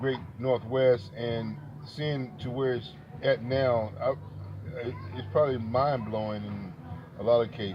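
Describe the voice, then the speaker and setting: A medium-pitched man with an American accent, fairly slow with long, frequent pauses and ordinary pitch variation, over noticeable background noise. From Texas. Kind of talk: casual conversation.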